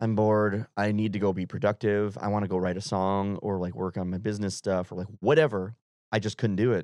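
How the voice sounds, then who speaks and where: An ordinary speaking voice from a man with an American accent comes through fairly low and fairly quick, with fairly even intonation, in a dry, close sound with no echo over a quiet background. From Wisconsin. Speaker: country singer-songwriter. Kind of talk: casual chat. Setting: studio.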